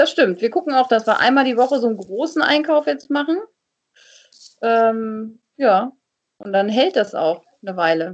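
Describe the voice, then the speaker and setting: Speaking at a moderate pace, a woman swings very widely in pitch and takes long, frequent pauses. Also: fairly high pitch for a woman. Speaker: TV and radio presenter, voice-over speaker. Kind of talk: casual chat.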